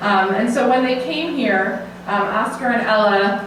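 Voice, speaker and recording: Here a woman talks at a medium pitch. Audible room echo and noticeable background noise surround her voice. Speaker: invited speaker at memorial program. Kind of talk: personal talk to an audience. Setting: assisted living hall with audience. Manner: fast; halting with many fillers.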